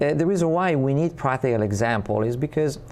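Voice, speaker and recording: The speaker talks with lively intonation and an Italian accent, with audible room echo. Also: man. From Italy. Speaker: spiritual community ambassador and teacher. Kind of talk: interview. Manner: halting.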